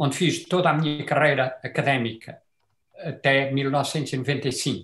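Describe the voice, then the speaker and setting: A man's voice comes through fairly high and somewhat breathy. His intonation stays fairly even. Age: 70s. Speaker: retired chemistry professor. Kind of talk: comment in online debate. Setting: video call. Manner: halting, many fillers.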